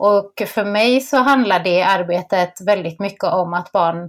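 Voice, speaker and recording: Ordinary pitch variation from a woman in a very clean recording with a silent background. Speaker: podcast host. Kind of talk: casual chat.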